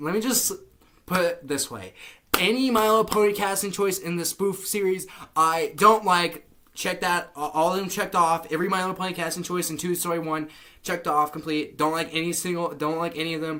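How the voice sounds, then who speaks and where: A man's high-pitched voice with fairly even intonation amid noticeable background noise. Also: fairly quick pace. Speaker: fan reviewer of cartoon spoof videos. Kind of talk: unscripted review monologue. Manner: stuttering, halting; casual, repetitive.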